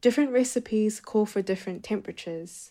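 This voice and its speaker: Ordinary pitch variation and a moderate pace in a woman's voice. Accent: New Zealand. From New Zealand. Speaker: poet and writer. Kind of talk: interview; reading aloud.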